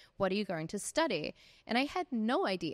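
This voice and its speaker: A woman's medium-pitched voice with a New Zealand accent. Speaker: life coach and author. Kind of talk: interview storytelling. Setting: podcast interview. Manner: animated.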